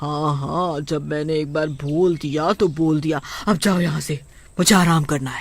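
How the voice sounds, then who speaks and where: On a very clean recording with a silent background, a cartoonish character voice at middle pitch speaks at a moderate pace. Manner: bossy, commanding.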